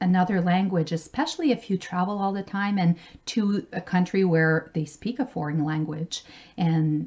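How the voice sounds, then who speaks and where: A woman with a medium pitch and a somewhat breathy voice speaks at a moderate pace with ordinary pitch variation. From Canada, French-speaking. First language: French. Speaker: travel vlogger. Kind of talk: casual vlog tutorial.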